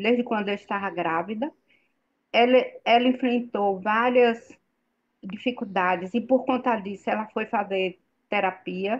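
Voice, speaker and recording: Using a plain, everyday voice, a woman speaks at a fairly slow pace with a fairly high pitch and fairly even intonation. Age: 60s. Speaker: participant in spiritual group chat. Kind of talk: online group discussion. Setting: video call.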